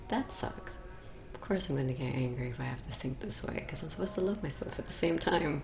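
Noticeable background noise is audible. Over it, a woman speaks at a very fast pace. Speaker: podcast host, yogi. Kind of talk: solo late-night reflective monologue. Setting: home meditation room, close to mic, candlelit, mosque and traffic noise. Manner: confessional, candid, unscripted.

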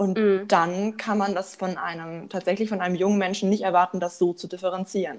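A woman speaks at a fairly quick pace and a medium pitch, in a monotone, flat delivery with hardly any pauses. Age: young. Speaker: psychology student. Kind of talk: casual podcast discussion.

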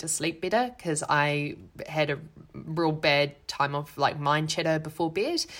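A woman's very deep, low-pitched voice with a New Zealand accent. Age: 30s. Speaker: podcast host, actress and performer. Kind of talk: casual solo talk.

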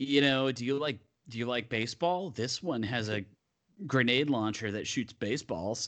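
A man with a medium-pitched voice talks at a fairly slow pace. He leaves long, frequent pauses against a quiet background. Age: 40s. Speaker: author and humorist. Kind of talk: casual chat. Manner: halting, many fillers.

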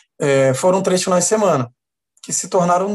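This is a man speaking. His pitch is high. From Baixada Fluminense, Rio de Janeiro, Brazil. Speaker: actor and theatre producer. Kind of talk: interview.

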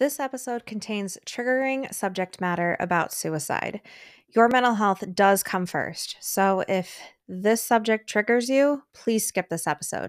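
A woman's fairly high voice, an ordinary speaking voice, fairly slow and with ordinary pitch variation, in a dry, close sound with no echo and a very clean recording over a silent background. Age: 30s. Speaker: podcast host. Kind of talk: podcast interview; scripted intro.

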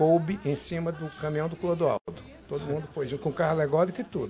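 A man with a fairly high pitch speaks as noticeable background noise carries on behind him. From Manaus, Amazonas, Brazil. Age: 60s. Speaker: federal congressman. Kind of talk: interview.

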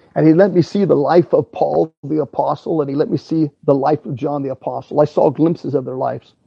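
With vocal fry and a fairly high pitch, a man talks at a fairly quick pace with hardly any pauses and ordinary pitch variation. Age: 50s. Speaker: preacher. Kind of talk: sermon. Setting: at home.

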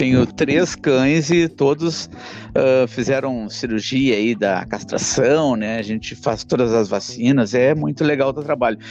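There is music in the background as a man talks at a fairly slow pace. His pitch is medium, with ordinary variation. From southern Brazil, Porto Alegre. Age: 40s. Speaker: podcast host. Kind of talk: interview.

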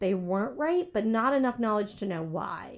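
A woman speaks with an American accent at a fairly high pitch, making very wide pitch swings. The recording is very clean, with a silent background. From US South, military family. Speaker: cheesemaker and business owner. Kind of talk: interview.

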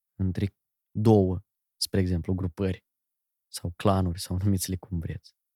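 Dark and mellow, a man's very deep, low voice moves at a fairly slow pace in a monotone, flat delivery with long, frequent pauses, recorded very cleanly against a silent background with a dry, close sound and no echo. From Moldova. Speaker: radio and TV presenter, wedding host. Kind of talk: casual chat.

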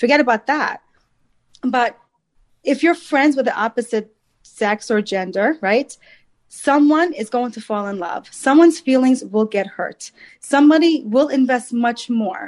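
With lively intonation, a woman speaks at a high pitch and a fairly slow pace. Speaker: matchmaker and dating coach. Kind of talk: casual chat. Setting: video call.

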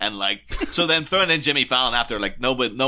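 Speaking at a fairly quick pace, a man uses lively intonation and a bright, sharp tone. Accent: Northern Irish. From Northern Ireland, near Derry. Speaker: podcast guest. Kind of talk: casual chat.

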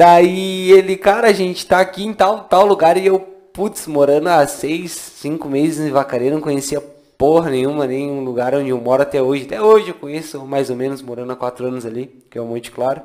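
A man speaks fairly quickly, with noticeable background noise in the mix. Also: fairly high pitch for a man, ordinary pitch variation. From Santana do Livramento, Rio Grande do Sul, Brazil. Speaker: podcast co-host. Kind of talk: casual chat.

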